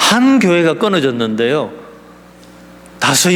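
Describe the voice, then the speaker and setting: Amid noticeable background noise and audible room echo, a man speaks with a fairly high pitch and very wide pitch swings. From South Korea, Gyeongsang (Daegu). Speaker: missionary. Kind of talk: sermon. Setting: church.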